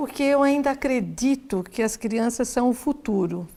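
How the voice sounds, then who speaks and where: A woman with a fairly high pitch and a dark, mellow tone speaks at a fairly slow pace on a very clean recording with a silent background. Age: 60s. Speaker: lawyer and NGO founder. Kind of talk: interview.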